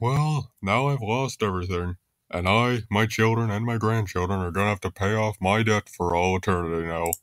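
In a cartoonish character voice, a man speaks at a fairly low pitch, the sound dry and close with no echo. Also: moderate pace. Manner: whiny, gullible.

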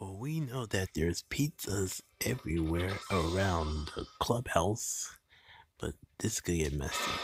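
Putting on a cartoonish character voice, a man speaks slowly with a low pitch, lively intonation and a slightly husky edge.

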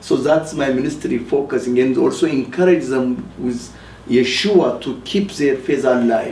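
A man at a fairly slow pace, ordinary pitch variation, audible room echo and light background noise. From Ethiopia. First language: Amharic. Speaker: rabbi and ministry leader. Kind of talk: testimony. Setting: TV studio. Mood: earnest, emotional testimony. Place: studio.

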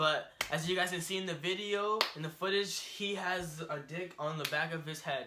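Noticeable background noise runs under a man's speech. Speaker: vlogger. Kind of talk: casual vlog chat. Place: home room. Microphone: camera far.

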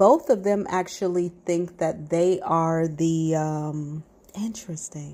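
A woman's fairly low-pitched voice at a very slow pace. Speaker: psychic reader. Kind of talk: psychic reading monologue. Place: garden. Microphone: earbuds.

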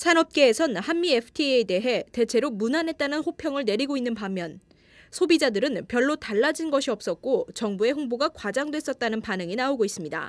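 Recorded very cleanly with a silent background and a dry, close sound with no echo, a woman talks at a moderate pace and a high pitch. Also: lively intonation. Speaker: news reporter. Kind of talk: news report.

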